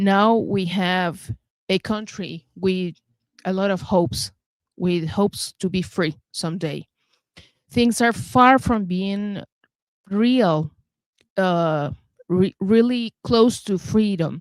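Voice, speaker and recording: A woman with a Venezuelan accent speaks at a very slow pace, leaving long, frequent pauses, her pitch medium with ordinary variation. The recording is very clean and dry, close with no echo, over a silent background. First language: Spanish. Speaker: talk show host. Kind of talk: interview show introduction. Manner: halting.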